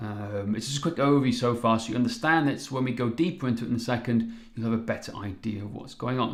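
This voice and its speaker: Recorded with audible room echo, a man with a Welsh accent speaks at a medium pitch with ordinary pitch variation. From Wales. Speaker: fitness coach. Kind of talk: live webinar presentation. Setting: live stream. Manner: animated.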